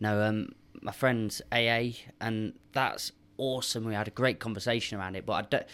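Speaking at a moderate pace, a man uses an ordinary speaking voice at medium pitch. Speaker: podcast guest. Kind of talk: casual chat.

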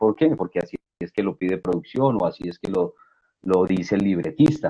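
With a dark, mellow tone, a man speaks at a moderate pace in a dry, close sound with no echo. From Colombia, provinces outside Bogotá. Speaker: actor, director and casting director. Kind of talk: interview.

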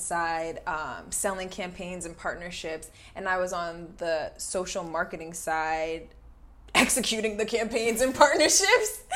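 Audible room echo surrounds a woman with an American accent who speaks at a moderate pace, with ordinary pitch variation and big swings in loudness. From New Jersey. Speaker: podcast host, actress and brand marketer. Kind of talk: casual chat.

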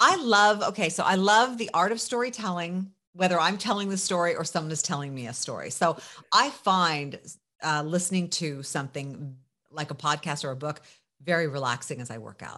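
With a bright, sharp tone, a woman talks at a fairly quick pace, her intonation lively and her loudness swinging widely. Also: fairly low pitch for a woman, quiet background. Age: 50s. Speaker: journalist and media entrepreneur. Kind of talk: casual interview.

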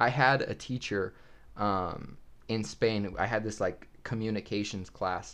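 At a fairly slow pace, a man with a normal speaking voice talks in a fairly low pitch with ordinary pitch variation. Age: 20s. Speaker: podcast host. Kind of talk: casual chat.

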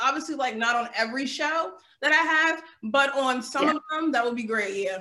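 A woman's raised, projected voice, high in pitch, with ordinary pitch variation at a fairly quick pace. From eastern US (New Jersey). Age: 20s. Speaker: podcast host. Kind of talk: casual interview chat. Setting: video call.

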